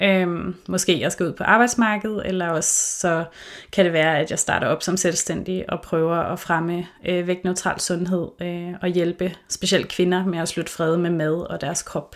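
Speaking at a fairly slow pace with hardly any pauses, a woman keeps a monotone, flat intonation at a fairly low pitch. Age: 30s. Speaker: podcast host, intuitive eating counselor. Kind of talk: casual chat. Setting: remote recording.

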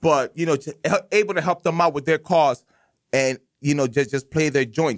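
Speaking in an American accent at a moderate pace, a man with a fairly high pitch sounds animated, with ordinary pitch variation and a dry, close sound with no echo. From Massachusetts (Lawrence), Cuban parents. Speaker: community radio host. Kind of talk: interview, casual chat. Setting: radio studio.

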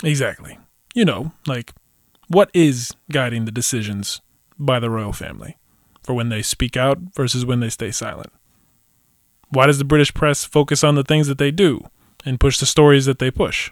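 In a very clean recording with a silent background and a dry, close sound with no echo, a speaker with an American accent talks at a moderate pace, using ordinary pitch variation and long, frequent pauses. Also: man, fairly high pitch for a man.

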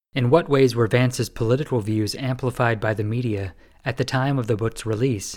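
In an American accent, a man with a plain, everyday voice speaks at a fairly quick pace with fairly even intonation, on a very clean recording with a silent background. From Winston-Salem, North Carolina. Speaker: podcast host. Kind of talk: interview with scripted intro.

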